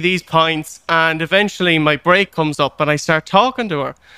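In an Irish accent, a man speaks with a bright, sharp tone, high in pitch with ordinary pitch variation. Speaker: podcast host. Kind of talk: casual interview chat.

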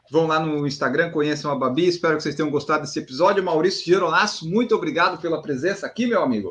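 Talking at a very fast pace with hardly any pauses, a man with a southern Brazilian accent speaks in a high pitch. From southern Brazil, Florianópolis. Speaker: podcast host. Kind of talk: interview.

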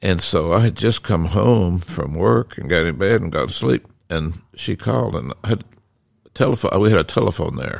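A man speaks at a moderate pace with a Southern US accent and a very deep, low pitch. There is vocal fry in his voice, and his pitch swings very widely. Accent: Southern US (Georgia). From Decatur, Georgia, US South. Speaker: host's father, storyteller. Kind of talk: casual storytelling conversation. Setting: home library.

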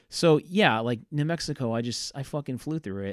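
In a very clean recording with a silent background, a man talks at a fairly quick pace. He has an eastern New England accent and lively intonation. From Massachusetts, South Coast (Fairhaven). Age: 30s. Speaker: podcast host. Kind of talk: casual solo monologue. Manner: halting, many filler words.

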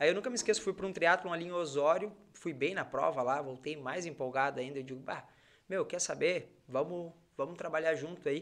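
A man with a plain, everyday voice talks at a fairly high pitch. His pace is fairly quick, and his pitch variation is ordinary. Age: 30s. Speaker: triathlete and physiotherapist. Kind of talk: casual chat.

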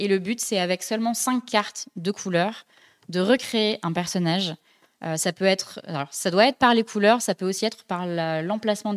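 A woman has an ordinary speaking voice at medium pitch, talking at a moderate pace with ordinary pitch variation in a dry, close sound with no echo. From France, Dijon. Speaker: podcast host and graphic designer. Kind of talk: casual chat. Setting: live-streamed studio show.

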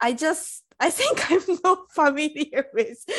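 A woman with a Japanese accent speaks at a very slow pace against a quiet background. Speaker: podcast co-host. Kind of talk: casual chat. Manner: halting.

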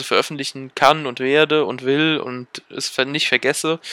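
Bright and sharp in tone, a man speaks at a fairly high pitch and a fairly slow pace. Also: very clean recording, silent background. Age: 20s. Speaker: podcaster and university student. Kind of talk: casual solo monologue. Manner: hesitant, many filler sounds.

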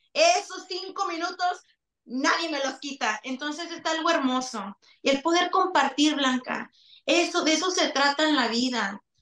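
A woman's high voice with a bright, sharp tone, ordinary pitch variation and a fairly slow pace. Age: 30s. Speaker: singer. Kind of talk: interview.

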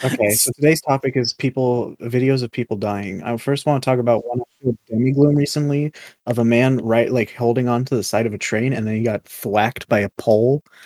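Quiet and dark, mellow in tone, a man of medium pitch speaks at a fairly quick pace with fairly even intonation and hardly any pauses, recorded with a dry, close sound and no echo. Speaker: podcast co-host. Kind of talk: casual chat.

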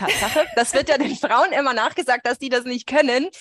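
With a dry, close sound and no echo, a woman talks at a high pitch. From Switzerland, Swiss Alps. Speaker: veterinary ophthalmologist. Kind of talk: casual interview chat.

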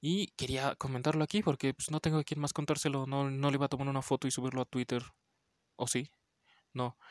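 A quiet man at a very fast pace, his intonation fairly even. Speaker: podcast host, horror film reviewer. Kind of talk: casual film review monologue. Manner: quiet, holding voice back; many fillers (este).

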